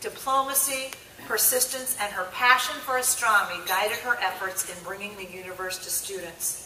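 A high-pitched woman's voice with big swings in loudness, audible room echo and light background noise. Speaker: conference presenter. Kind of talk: formal introduction speech. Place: hall. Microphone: podium.

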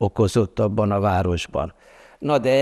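Very slow speech from a man, the background quiet. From Transylvania, Romania. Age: 80s+. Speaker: art writer and journalist; journalist. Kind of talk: interview. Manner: hesitant, many filler sounds. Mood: calm, reflective, smiling. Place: hall. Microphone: lapel.

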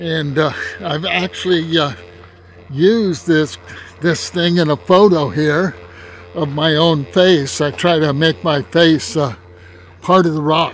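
Against faint music in the background, a man talks at a fairly slow pace with long, frequent pauses and fairly even intonation, in a dry sound with no echo. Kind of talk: casual vlog commentary. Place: open country. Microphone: phone near.

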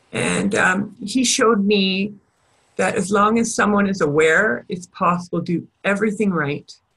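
At a moderate pace, a woman uses an ordinary speaking voice at medium pitch with ordinary pitch variation. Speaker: educational audiologist. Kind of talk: webinar presentation. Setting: webinar.

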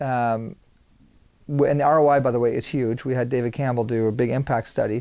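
His tone dark and mellow, a man speaks with fairly even intonation. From Saint John, New Brunswick, Canada; New Brunswick, Canada. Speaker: video producer; guest. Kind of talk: interview conversation. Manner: high energy. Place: studio. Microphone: lapel.

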